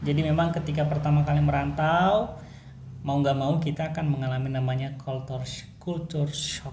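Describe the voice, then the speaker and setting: Speech comes at a moderate pace with audible room echo. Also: man. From Sulawesi, Indonesia. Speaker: podcast co-host. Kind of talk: casual chat. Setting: at home. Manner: loud by local standards.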